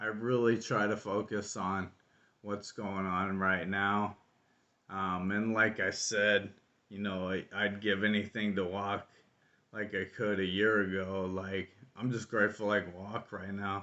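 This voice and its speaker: Mumbling at a fairly slow pace, a man speaks with monotone, flat intonation. The background is quiet. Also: fairly low pitch for a man. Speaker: vlogger with ALS. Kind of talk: personal video diary.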